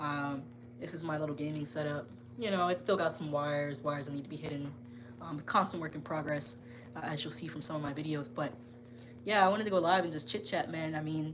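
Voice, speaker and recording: Speaking at a very fast pace, a woman with a very deep, low pitch and ordinary pitch variation is heard over noticeable background noise and audible room echo. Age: 20s. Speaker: gaming YouTuber. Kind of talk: live stream casual chat. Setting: live stream from gaming room. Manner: conversational, many fillers.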